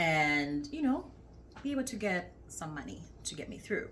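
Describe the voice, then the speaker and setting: With audible room echo, a woman speaks at a moderate pace in a warm tone. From Uganda. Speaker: faith vlogger. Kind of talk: testimony. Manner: warm conversational.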